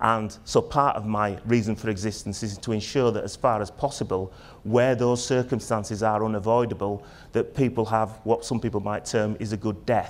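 Fairly even intonation marks a man's speech, delivered at a moderate pace. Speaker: conference keynote presenter. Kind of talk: conference talk. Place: stage.

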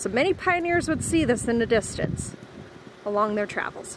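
A woman is speaking. The sound is dry with no echo, though background noise is noticeable. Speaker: travel vlogger. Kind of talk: casual vlog narration. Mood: cheerful, informative. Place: open country. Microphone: phone near.

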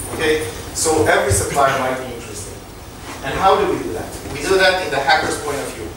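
Amid noticeable background noise and strong room echo, a man talks very fast with ordinary pitch variation. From Israel. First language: Hebrew. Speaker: startup co-founder and tech executive. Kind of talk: lecture. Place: hall.

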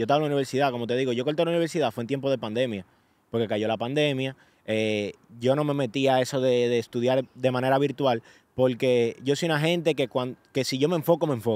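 The speech runs at a very fast pace. The sound is dry with no echo. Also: man. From Dominican Republic, Santo Domingo; Dominican Republic. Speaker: social media influencer. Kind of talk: casual interview. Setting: New York. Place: open country. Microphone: studio mic.

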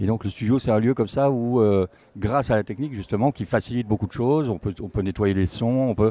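A man's dark, mellow tone with ordinary pitch variation, in a dry sound with no echo. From France, Alsace (Sainte-Marie-aux-Mines); Alsace, France. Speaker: musician and singer; guest. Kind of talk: interview. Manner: halting, many repetitions and fillers. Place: hall. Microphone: handheld.

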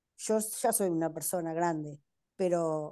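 The background stays quiet. A woman's voice carries a dark, mellow tone. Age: 60s. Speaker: patient sharing experience. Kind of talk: testimony. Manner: hesitant, many fillers. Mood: calm, reflective. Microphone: video call.

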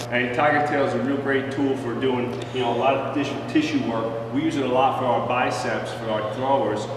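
A man speaks at a moderate pace in a monotone, flat intonation. The room echo is audible, and background noise is noticeable. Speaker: strength coach. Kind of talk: tutorial. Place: gym. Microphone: camera far.

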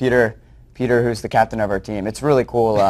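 A man with an American accent talks at a fairly quick pace in a plain, everyday voice, fairly low in pitch with fairly even intonation. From New Jersey. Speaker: nonprofit founder. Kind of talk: interview. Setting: studio. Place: studio. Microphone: lapel.

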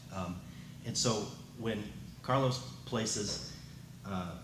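Through noticeable background noise, a man talks in a fairly low pitch with ordinary pitch variation. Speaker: architect; panelist. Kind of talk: academic talk. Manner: hesitant, many fillers. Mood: wry, thoughtful. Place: hall. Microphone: podium.

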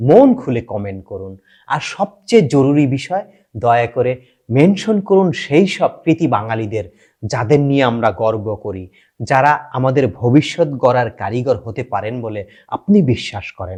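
A man speaks at a medium pitch with lively intonation and a dark, mellow tone. The background is quiet. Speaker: YouTube channel host. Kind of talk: scripted narration; direct appeal to viewers. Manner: emotional, declamatory.

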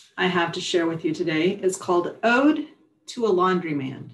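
Lively intonation at a moderate pace, with audible room echo. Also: woman. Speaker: publisher and poet. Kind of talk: poetry reading, performing her own poems aloud. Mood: calm, warm, reflective. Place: home room. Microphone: webcam.

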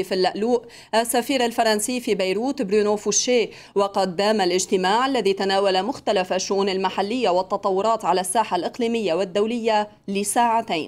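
A woman with a fairly high pitch speaks at a moderate pace and keeps her intonation fairly even. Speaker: TV news anchor. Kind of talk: television evening news read. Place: studio. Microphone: podium.

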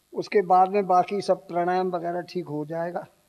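Against a quiet background, a man with a high pitch and a dark, mellow tone speaks fairly slowly in a flat monotone. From India. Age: 80s+. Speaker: yoga instructor. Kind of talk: yoga class instruction. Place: stage. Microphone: handheld.

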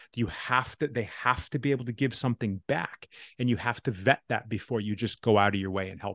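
A man talks at a fairly quick pace with ordinary pitch variation, his dry sound carrying no echo over a quiet background. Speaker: podcast host. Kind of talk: casual podcast conversation. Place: home room. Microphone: studio mic.

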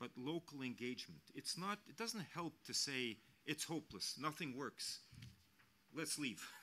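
In a Norwegian accent, a man speaks at a fairly slow pace with lively intonation and a bright, sharp tone, leaving long, frequent pauses. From Norway. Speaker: diplomat, ambassador; international envoy at panel. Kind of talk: panel speech; audience Q&A answers. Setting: panel with live audience. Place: hall. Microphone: podium.

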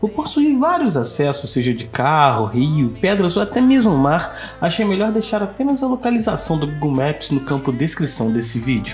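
A man's fairly high voice at a moderate pace, pitch swinging very widely, hardly any pauses, music playing behind. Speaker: travel drone video narrator. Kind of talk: travel video voice-over.

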